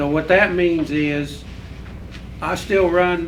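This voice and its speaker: Amid noticeable background noise and audible room echo, a man with an American accent talks in a fairly high voice with fairly even intonation. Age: 70s. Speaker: farmer. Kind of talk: panel discussion.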